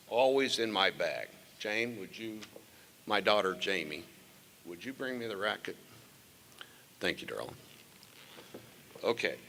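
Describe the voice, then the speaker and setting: The speaker goes at a fairly slow pace with long, frequent pauses, ordinary pitch variation and big swings in loudness, against noticeable background noise. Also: man, medium pitch for a man. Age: 70s. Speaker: former state tennis champion presenting an award. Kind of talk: award ceremony speech with banter. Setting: stage with audience. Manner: animated.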